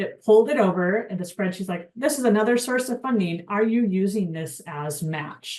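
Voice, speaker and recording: A woman with an unremarkable speaking voice and a medium pitch. She talks at a moderate pace with lively intonation. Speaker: webinar presenter at homelessness nonprofit. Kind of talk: webinar tutorial. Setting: online webinar.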